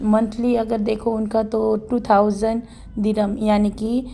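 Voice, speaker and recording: A woman speaks at a very slow pace in a fairly high, somewhat breathy voice. Her intonation is monotone and flat. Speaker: vlogger. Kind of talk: casual vlog talk.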